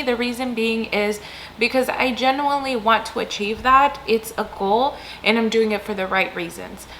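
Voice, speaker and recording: Moderate pace and fairly even intonation against noticeable background noise. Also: woman. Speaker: entrepreneur and marketing coach. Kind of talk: casual talk to camera.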